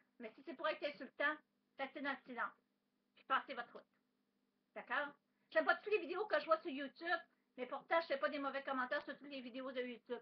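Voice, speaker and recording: High-pitched female speech with ordinary pitch variation. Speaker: vlogger. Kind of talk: webcam monologue. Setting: webcam at home. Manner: fast; loud.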